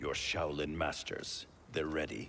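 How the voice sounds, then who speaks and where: Doing a put-on character voice, a man speaks at a fairly slow pace with a very deep, low pitch over clear background noise. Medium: video game. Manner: wary, blunt.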